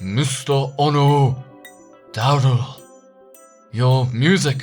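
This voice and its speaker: In a booming, put-on character voice, a man speaks very slowly at a medium pitch. Faint music plays in the background. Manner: formal, greeting.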